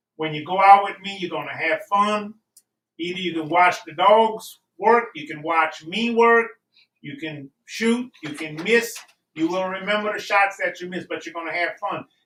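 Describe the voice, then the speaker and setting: A man with a raised, projected voice, high in pitch and bright and sharp in tone, speaks at a moderate pace with ordinary pitch variation and big swings in loudness. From Louisiana. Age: 70s. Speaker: rabbit hunter, beagle handler. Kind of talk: casual pitch for auction item. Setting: live-streamed auction in a shop.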